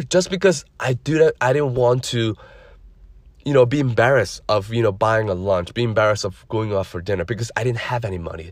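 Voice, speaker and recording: In a very clean recording with a silent background, a man speaks at a fairly quick pace. His voice is somewhat breathy and medium in pitch. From immigrant, grew up in the US. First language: non-English (immigrant). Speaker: podcast host, credit services entrepreneur. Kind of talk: solo podcast monologue.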